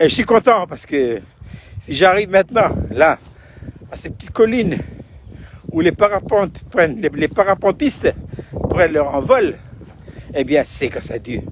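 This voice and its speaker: With noticeable background noise behind him, a man speaks at a fairly slow pace in a high pitch, with very wide pitch swings, big swings in loudness and long, frequent pauses. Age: 70s. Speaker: pastor. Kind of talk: video devotional talk. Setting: outdoors. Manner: halting.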